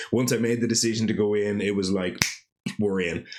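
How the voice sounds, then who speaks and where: A man speaks in an animated tone amid noticeable background noise and audible room echo. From Ireland, Dublin. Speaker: podcast host. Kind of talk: casual monologue podcast.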